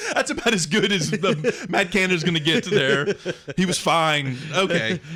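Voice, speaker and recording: Over noticeable background noise, a man with a high pitch talks at a moderate pace, lively in intonation and very even in loudness. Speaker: podcast host. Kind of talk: casual chat.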